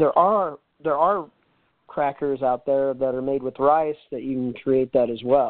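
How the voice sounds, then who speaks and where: With ordinary pitch variation, a man talks at a fairly slow pace. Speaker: restaurant consultant. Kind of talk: casual interview. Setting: phone call. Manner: formal, stiff.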